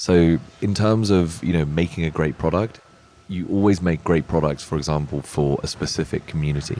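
Very deep and low, a man's voice moves at a moderate pace with ordinary pitch variation. There is noticeable background noise. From Czech Republic. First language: Czech. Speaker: tech company founder. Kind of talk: interview. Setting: live at a hotel event.

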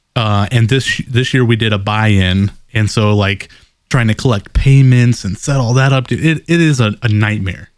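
A man talks at a moderate pace with medium pitch and ordinary pitch variation. It is a normal speaking voice. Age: 20s. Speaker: podcast co-host. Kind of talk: casual chat.

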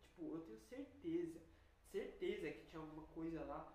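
There is audible room echo around a woman as she speaks. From Brazil, São Paulo. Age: young. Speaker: university student. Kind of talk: casual chat.

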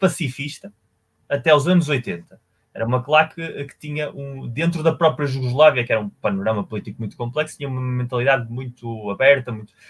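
A man with a fairly high, somewhat breathy voice talks at a moderate pace, his intonation lively. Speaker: football podcast co-host. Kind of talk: casual chat.

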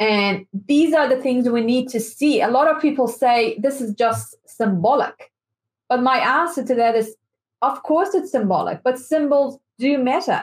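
A woman with a Persian accent talks at a fairly slow pace in a high voice. Her loudness stays very even throughout. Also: lively intonation. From Iran. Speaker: activist. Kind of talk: interview.

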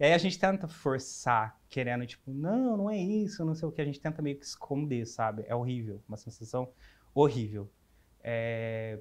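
The delivery has lively intonation and moves at a moderate pace. It is an unremarkable speaking voice. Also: man, medium pitch for a man. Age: 20s. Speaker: advertising designer. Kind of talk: interview.

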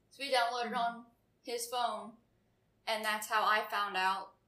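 Through audible room echo comes a woman with an American accent, her fairly high voice bright and sharp in tone and monotone, flat in intonation. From Florida. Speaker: podcast guest, friend of hosts. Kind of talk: casual chat.

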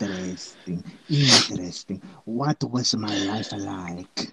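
A man puts on a character voice with lively intonation. His pitch is fairly low and his pace fairly slow.

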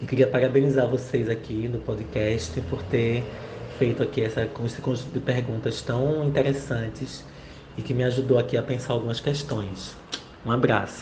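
A man speaks at a medium pitch with fairly even intonation. Room echo is audible. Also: moderate pace. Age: 40s. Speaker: university professor and researcher. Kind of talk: interview answers. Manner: hesitant, many fillers.

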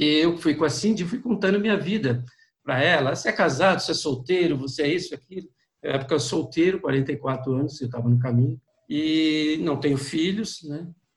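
A plain, everyday voice with ordinary pitch variation, moving at a fairly quick pace. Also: man, fairly high pitch for a man. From interior of São Paulo state, Brazil. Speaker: pilgrim and walking guide. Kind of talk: interview, personal storytelling.

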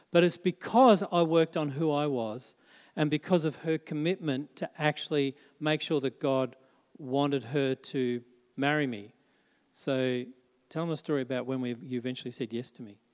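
Moderate pace and ordinary pitch variation, on a very clean recording with a silent background. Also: man, fairly high pitch for a man. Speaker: pastor. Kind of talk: sermon. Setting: church. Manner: animated.

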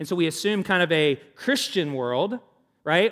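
Here a man talks at a fairly quick pace with a Southern US accent. His pitch varies in an ordinary way. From US South. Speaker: pastor. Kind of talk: sermon. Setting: church. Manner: informal, halting with fillers.

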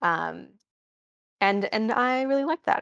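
A woman with an American accent speaks at a moderate pace in an animated tone, her pitch varying in the ordinary way. The sound is dry and close, with no echo. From Wisconsin, Green Bay suburb. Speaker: education company staff, women's college alumna. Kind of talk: live online Q&A talk. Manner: animated, frequent laughter.

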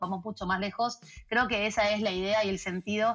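Her delivery is very fast, held at a medium pitch with fairly even intonation. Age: 40s. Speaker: organizational culture consultant. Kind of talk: interview.

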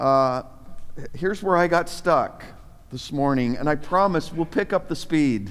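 This man's voice is fairly high and animated in tone. He speaks at a fairly slow pace with lively intonation. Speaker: pastor. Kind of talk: sermon. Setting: church with live congregation. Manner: animated, exhorting the congregation with call-and-response; conversational and informal, with asides and repeated words.

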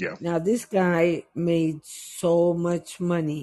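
This is a woman speaking. She has an American accent. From New York, West Indian family. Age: 50s. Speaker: guest. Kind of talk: casual chat. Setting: video call.

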